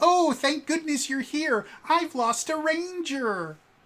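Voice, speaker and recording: A put-on character voice, high in pitch and fairly slow, comes through a very clean recording with a silent background. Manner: relieved, put-on character voice.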